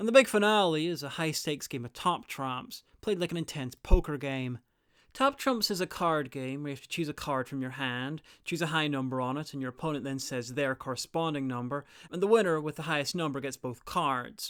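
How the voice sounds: In a very clean recording with a silent background, a man speaks at a fairly quick pace with a fairly high pitch, ordinary pitch variation, and a fairly bright, clear, smooth tone.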